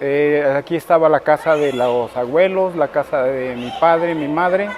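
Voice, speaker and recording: A man talks at a fairly slow pace with ordinary pitch variation while noticeable background noise carries on. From Cuernavaca, Morelos, Mexico. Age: 60s. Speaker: local resident interviewee. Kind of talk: interview testimony. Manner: hesitant, with filler words.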